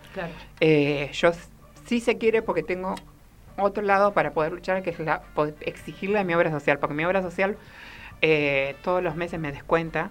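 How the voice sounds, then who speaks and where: Pausing long and often, a woman with a fairly low pitch speaks at a moderate pace with ordinary pitch variation. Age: 30s. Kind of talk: interview.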